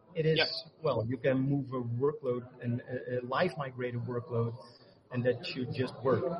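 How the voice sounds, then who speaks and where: Amid noticeable background noise, a man speaks at medium pitch and a fairly slow pace, with fairly even intonation and long, frequent pauses. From Netherlands. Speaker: tech marketing architect. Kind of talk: interview.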